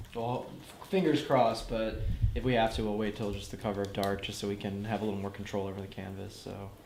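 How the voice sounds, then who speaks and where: An American accent marks a man's very fast, fairly low-pitched speech, heard with noticeable background noise and audible room echo. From North Carolina, US South. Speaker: cinematographer. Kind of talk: production meeting.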